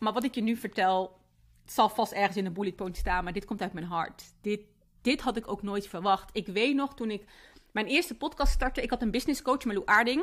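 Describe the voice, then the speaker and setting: Lively intonation marks a woman's fairly high voice at a fairly quick pace. The recording is very clean, with a silent background. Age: 30s. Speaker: podcast host and entrepreneur. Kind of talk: personal monologue.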